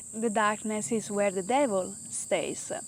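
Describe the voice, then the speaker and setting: Speaking very slowly with an Italian accent, a woman keeps a medium pitch and fairly even intonation. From Italy. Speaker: yoga teacher. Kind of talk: spoken talk to a yoga class.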